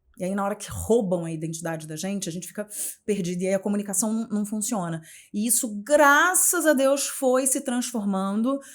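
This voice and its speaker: A woman's medium-pitched, animated voice with lively intonation, in a very clean recording over a silent background. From Rio de Janeiro, Brazil. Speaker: journalist and communication mentor. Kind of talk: podcast interview.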